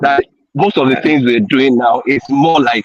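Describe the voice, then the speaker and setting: An ordinary speaking voice, this man's is fairly high in pitch and fairly slow, with ordinary pitch variation and a dry, close sound with no echo. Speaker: tourism sector professional. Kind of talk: panel discussion. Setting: video call while walking outdoors.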